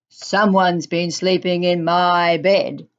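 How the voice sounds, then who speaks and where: In a put-on character voice that sounds female, someone speaks gruffly at a middle pitch and a fairly slow pace. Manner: loud.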